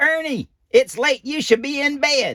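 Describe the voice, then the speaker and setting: At a fairly slow pace, someone performs a high-pitched put-on character voice. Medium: read story.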